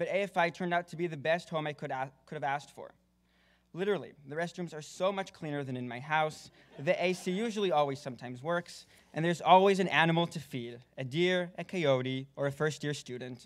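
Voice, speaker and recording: A man's fairly high voice with an American accent, an unremarkable speaking voice, big swings in loudness, ordinary pitch variation and a fairly quick pace, on a very clean recording with a silent background. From Israel, then Texas. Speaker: film student. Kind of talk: award acceptance speech. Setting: stage with audience.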